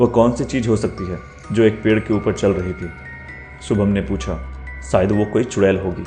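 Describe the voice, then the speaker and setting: Music plays in the background as a man with a fairly low pitch talks at a moderate pace. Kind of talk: horror story narration.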